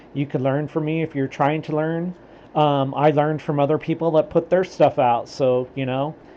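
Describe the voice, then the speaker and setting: A man's fairly high-pitched voice in a monotone, flat intonation. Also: moderate pace. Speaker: self-taught crypto trader. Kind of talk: screen-recorded trading commentary. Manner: casual, street-style talk; hesitant, many fillers and restarts.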